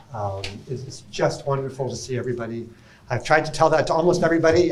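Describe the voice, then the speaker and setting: A man talks at a medium pitch in a somewhat breathy voice. Room echo can be heard. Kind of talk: conference talk.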